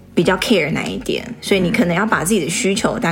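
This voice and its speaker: A woman's fairly quick, lively-intoned speech amid noticeable background noise. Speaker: podcast co-host. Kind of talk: casual chat.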